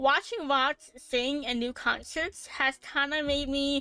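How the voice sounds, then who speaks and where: A woman's raised, projected voice, high in pitch, bright and sharp in tone, at a very slow pace, in a very clean recording with a silent background. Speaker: VTuber streamer. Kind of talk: casual chat. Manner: animated; halting, many fillers.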